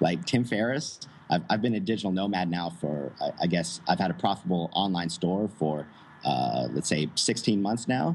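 The speaker has an American accent and lively intonation at a moderate pace. Noticeable background noise is heard. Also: man, very deep, low pitch for a man. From United States. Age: 20s. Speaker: digital nomad entrepreneur. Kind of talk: interview.

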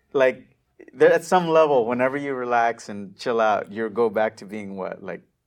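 Using a plain, everyday voice, a man with an American accent speaks at a moderate pace and medium pitch, his intonation lively and his loudness swinging widely. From US-Mexico border region. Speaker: digital marketing entrepreneur. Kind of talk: interview.

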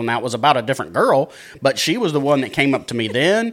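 A man with a Texan accent talks at a very fast pace in a fairly high-pitched voice. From Texas, Dallas area. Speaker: podcast producer and co-founder. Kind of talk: casual chat.

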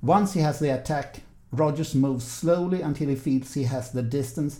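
This man has a fairly high pitch and a dark, mellow tone with a Swedish accent. His voice is somewhat breathy. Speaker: podcast host, fencing interviewer. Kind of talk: interview; scripted narration.

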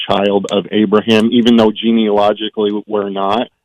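This man has a normal speaking voice with a fairly low pitch. He speaks at a fairly slow pace. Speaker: caller. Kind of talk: casual chat. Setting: phone call.

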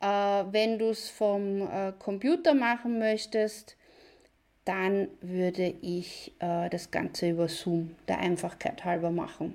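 The recording is very clean, with a silent background. A woman at a medium pitch talks at a very slow pace with fairly even intonation. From Austria, near Vienna. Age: 40s. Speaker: online business video coach. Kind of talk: live video tutorial. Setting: live video stream from computer.

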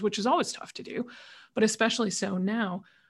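With ordinary pitch variation, a woman talks fairly quickly in a somewhat breathy voice. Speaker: podcast host. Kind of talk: interview moderation. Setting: video call.

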